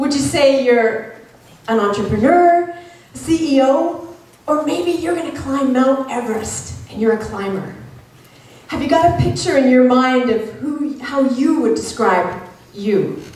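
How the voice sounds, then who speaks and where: Lively intonation and an animated tone from a woman with a Canadian accent, high in pitch and at a fairly slow pace, with audible room echo and noticeable background noise. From Canada. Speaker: motivational speaker. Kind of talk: motivational speech.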